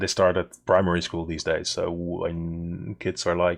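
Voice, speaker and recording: A man talks with a Dutch accent. His pace is fairly slow. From Netherlands. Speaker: game mod developer and streamer. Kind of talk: live coding stream, casual chat with chat. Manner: halting, many fillers and repeats.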